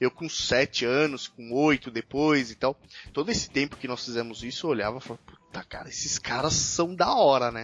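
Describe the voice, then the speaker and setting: With music in the background, a man speaks at a moderate pace and medium pitch, his loudness swinging widely while his pitch varies in an ordinary way. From São Paulo state, Brazil (São Paulo city, then Mogi Mirim). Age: 30s. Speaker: motorcycle podcast host. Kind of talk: casual chat. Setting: remote call.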